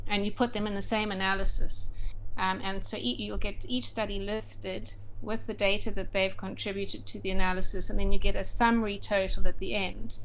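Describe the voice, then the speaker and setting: A woman at a fairly quick pace, her loudness swinging widely, amid noticeable background noise and audible room echo. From South Africa, Durban. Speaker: medical doctor and researcher. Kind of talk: interview. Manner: halting, many fillers.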